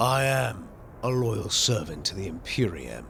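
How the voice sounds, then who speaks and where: A man performs a put-on character voice at a medium pitch, with lively intonation. He keeps a moderate pace over clear background noise. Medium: actual play. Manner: solemn, formal.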